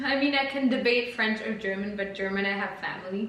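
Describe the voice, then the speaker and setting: Medium-pitched woman's voice at a moderate pace with fairly even intonation, amid noticeable background noise and audible room echo. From Italy. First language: Italian. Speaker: podcast co-host. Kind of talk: casual chat.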